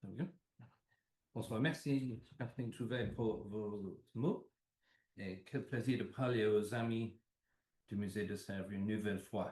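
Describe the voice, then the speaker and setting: The voice is somewhat breathy and moves at a very slow pace. Long pauses come often. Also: man, medium pitch for a man, ordinary pitch variation. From England (London). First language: English (speaking French). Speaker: art dealer, lecturer. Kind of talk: lecture read from notes.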